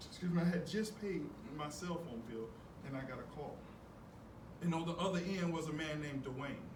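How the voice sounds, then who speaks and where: Amid noticeable background noise and audible room echo, a man with an Atlanta accent speaks at a fairly quick pace and a fairly high pitch, with long, frequent pauses. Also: ordinary pitch variation. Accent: Southern US (Atlanta). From US South, Atlanta, Georgia. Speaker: keynote speaker, former pro baseball player. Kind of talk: motivational speech. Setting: stage with audience. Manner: repetitive, halting in places.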